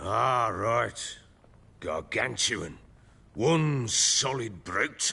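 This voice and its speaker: Using a raspy, put-on character voice, a man speaks at a medium pitch. His very slow delivery includes long, frequent pauses. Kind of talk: archaic gruff speech. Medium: video game. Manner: coarse, blustering, swears often.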